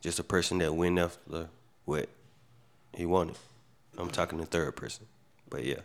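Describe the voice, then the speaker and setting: Long, frequent pauses break up a man's very deep, low voice, which stays monotone and flat at a moderate pace. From US South, Macon, Georgia. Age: 30s. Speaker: podcast co-host. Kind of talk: casual chat.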